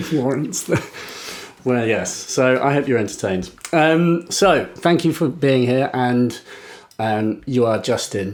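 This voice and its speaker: A man with an English accent at a medium pitch and fairly slow pace, amid noticeable background noise. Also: lively intonation, very even loudness. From England. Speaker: podcast host. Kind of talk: casual interview.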